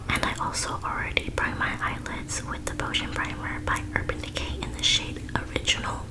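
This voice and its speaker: A woman's whisper at a fairly quick pace, with hardly any pauses and noticeable background noise. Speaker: ASMR creator. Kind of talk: ASMR makeup tutorial voiceover. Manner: whispered.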